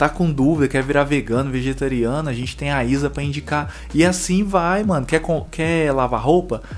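Over music in the background, a man speaks at a moderate pace with hardly any pauses. His pitch is fairly high, with ordinary variation. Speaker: podcast co-host, coffee entrepreneur. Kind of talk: casual chat. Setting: home studio room. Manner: animated.

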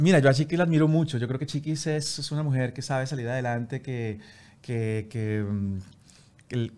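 He talks at a moderate pace, with a medium pitch and ordinary pitch variation. The man has an ordinary speaking voice. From Colombia, Bogotá. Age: 40s. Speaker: TV presenter. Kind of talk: interview.

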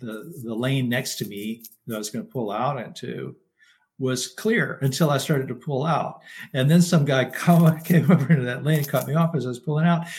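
With a West Texas accent, a man speaks at a moderate pace in a fairly high, somewhat breathy voice with ordinary pitch variation. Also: big swings in loudness. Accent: West Texas American. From Texas (Lubbock). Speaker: Buddhist monk. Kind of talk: casual interview.

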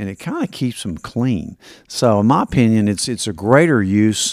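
Speaking at a moderate pace with an East Tennessee accent, a man uses a fairly low pitch and ordinary pitch variation on a very clean recording with a silent background. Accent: Southern US (East Tennessee). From US South, Tennessee (Kingsport). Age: 60s. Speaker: physician. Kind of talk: interview.

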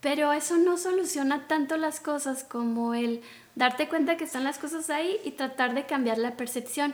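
Ordinary pitch variation marks this woman's high voice. Her pace is moderate. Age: 40s. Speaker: life coach. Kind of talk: casual conversation. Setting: outdoors in a park. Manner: calm, peaceful.

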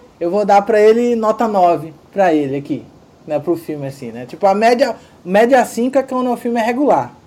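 Over noticeable background noise, a man with a high pitch talks with very wide pitch swings. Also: moderate pace. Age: 30s. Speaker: podcast host. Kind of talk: casual film discussion.

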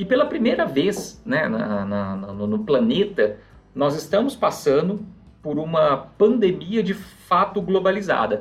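Lively intonation from a man with a high voice, a fairly slow pace, and music in the background. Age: 30s. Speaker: financial advisor. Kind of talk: podcast interview.

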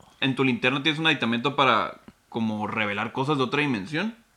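Using an ordinary speaking voice, a man with a medium pitch talks fairly quickly with lively intonation. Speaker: podcast co-host. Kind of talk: casual chat.

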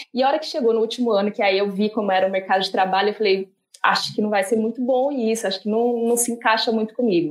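Fairly quick speech comes from a woman in a fairly high voice. She has an unremarkable speaking voice with ordinary pitch variation. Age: 30s. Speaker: corporate diversity group leader. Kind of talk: panel discussion.

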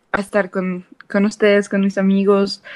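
A woman talks at a medium pitch. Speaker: university student, podcast co-host. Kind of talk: casual chat.

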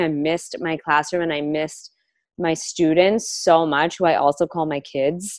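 A woman speaks at a fairly slow pace with an American accent. The background is quiet. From Los Angeles, Southern California. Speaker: high school teacher. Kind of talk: casual interview.

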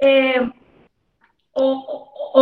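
This is a woman speaking. Her voice sits high. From Mexico, rural. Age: 30s. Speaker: entrepreneur. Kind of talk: casual interview.

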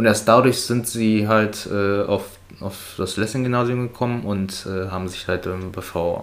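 With noticeable background noise behind him, a man speaks fairly low at a fairly slow pace, his intonation fairly even. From Brandenburg near Berlin, family from China. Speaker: friend of the host. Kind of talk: casual chat.

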